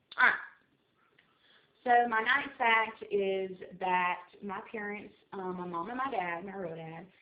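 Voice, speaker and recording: Using an American accent, a woman speaks at a fairly slow pace in a medium pitch, with ordinary pitch variation, big swings in loudness and long, frequent pauses. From South Carolina, US. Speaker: vlogger. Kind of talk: casual vlog monologue. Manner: hyper, rambling with fillers.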